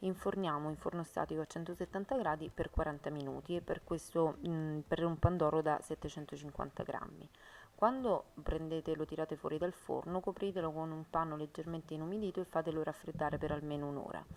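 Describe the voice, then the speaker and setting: This woman talks at a fairly quick pace in a very deep, low pitch, her intonation fairly even. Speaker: home cooking youtuber. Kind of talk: cooking tutorial. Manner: fast.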